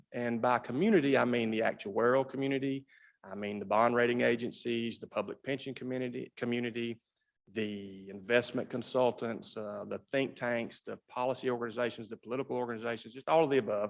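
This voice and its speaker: A man's medium-pitched voice at a fairly quick pace, with fairly even intonation. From US South. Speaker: state pension system director. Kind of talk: legislative committee testimony. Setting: legislative hearing room. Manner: fast.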